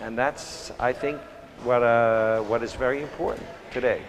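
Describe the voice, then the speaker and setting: With an American accent, a man talks over noticeable background noise. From New York City. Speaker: photographer. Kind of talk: interview monologue. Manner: halting, many fillers. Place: hall. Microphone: lapel.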